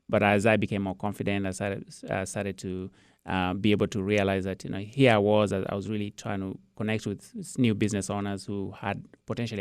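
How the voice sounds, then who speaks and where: A man with a Kenyan accent talks very fast in a fairly low pitch with fairly even intonation. The recording is very clean, with a silent background. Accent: Kenyan accent, Queen's English. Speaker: IT business owner. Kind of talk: interview. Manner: repeats words, halting.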